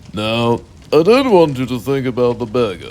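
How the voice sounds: At a moderate pace, a man speaks with a slightly mellow tone and big pitch swings. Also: medium pitch for a man.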